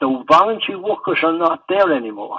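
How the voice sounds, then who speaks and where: A man speaks with an Irish accent. His pitch is high. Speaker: retired Gaelic football player. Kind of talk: oral history interview answer.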